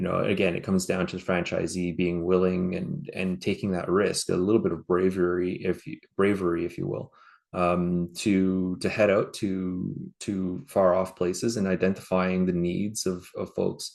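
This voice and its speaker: With a Canadian accent, a man speaks in a very deep, low pitch at a moderate pace. His intonation is monotone and flat, and the background is quiet. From Canada. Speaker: franchise partner, business owner. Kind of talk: interview.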